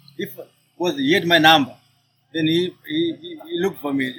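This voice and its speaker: The man's voice is high in pitch. His intonation is lively. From Zimbabwe. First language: not English. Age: 30s. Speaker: barista and coffee shop owner. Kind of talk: casual interview. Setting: outdoors on a sidewalk.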